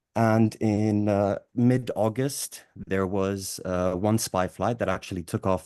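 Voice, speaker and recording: A man's fairly even, moderately paced speech, with a dry, close sound with no echo and a quiet background. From Cyprus and England. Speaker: activist. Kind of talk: audience question at workshop. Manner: halting.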